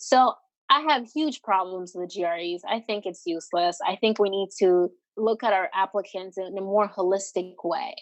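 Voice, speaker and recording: At a moderate pace and with ordinary pitch variation, a woman with an American accent speaks in an ordinary speaking voice. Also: medium pitch for a woman. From US Northeast, New York City (Washington Heights). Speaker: doctoral student. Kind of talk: podcast interview.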